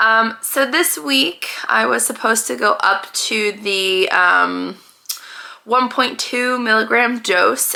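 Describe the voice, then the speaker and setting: Noticeable background noise sits behind speech delivered very slowly. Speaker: vlogger. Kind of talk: casual vlog update. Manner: hesitant, many fillers.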